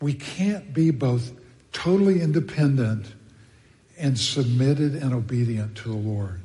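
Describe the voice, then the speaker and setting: With an American accent, a man speaks fairly slowly at a medium pitch, his tone dark and mellow, somewhat breathy, with lively intonation and audible room echo. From Texas. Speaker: pastor. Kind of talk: sermon.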